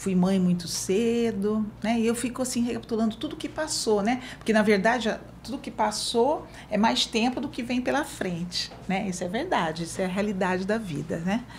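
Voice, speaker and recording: Over noticeable background noise, a woman with a fairly high pitch talks at a moderate pace, with lively intonation and hardly any pauses. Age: 60s. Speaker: social worker. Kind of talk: interview. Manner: halting.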